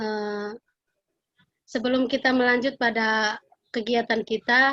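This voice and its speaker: In a Kupang accent, a woman with a fairly high voice speaks very slowly in a flat monotone. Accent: local Kupang. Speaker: school counselor. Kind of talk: classroom guidance lesson. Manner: halting, many fillers.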